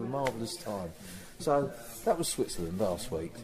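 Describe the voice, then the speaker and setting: A man's medium-pitched voice with an English accent, audible room echo around it. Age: 60s. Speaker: rock musician. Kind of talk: interview. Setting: backstage before a gig. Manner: hesitant, with repeated words.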